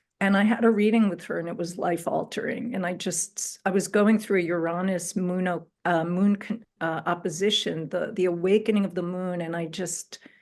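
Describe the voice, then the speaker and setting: An ordinary speaking voice from a woman, with fairly even intonation, hardly any pauses and a moderate pace. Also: medium pitch for a woman. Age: 60s. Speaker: spiritual astrologer. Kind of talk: interview, personal story.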